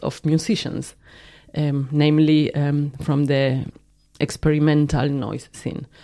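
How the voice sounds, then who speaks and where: In a Spanish accent, the voice has a dark, mellow tone and goes at a very slow pace, on a very clean recording with a silent background. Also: woman. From Argentina. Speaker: film and video artist. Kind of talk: casual interview. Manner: halting.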